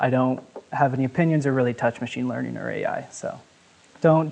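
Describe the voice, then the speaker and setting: A man at a very fast pace. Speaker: software engineer giving a conference talk. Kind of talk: conference talk.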